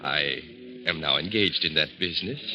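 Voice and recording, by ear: A man puts on a character voice with an extremely low pitch and a bright, sharp tone. He keeps a moderate pace while faint music plays in the background. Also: ordinary pitch variation.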